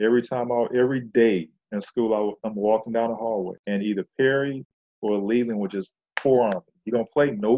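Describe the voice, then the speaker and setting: A man with an American accent talks at a fairly quick pace in a normal speaking voice. His pitch is medium and his intonation fairly even. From Flint, Michigan. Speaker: retired professional basketball player. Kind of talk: interview.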